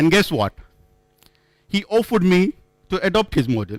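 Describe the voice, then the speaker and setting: Speaking with a non-native accent, a man keeps to a moderate pace. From India. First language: not English. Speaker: conference speaker. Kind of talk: conference talk. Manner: halting.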